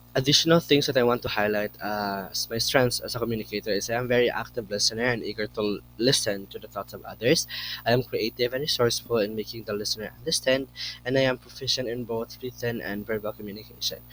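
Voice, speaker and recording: A man talks very fast at medium pitch. His intonation stays fairly even. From Philippines, Negros Occidental. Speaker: education student. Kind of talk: class presentation. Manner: formal.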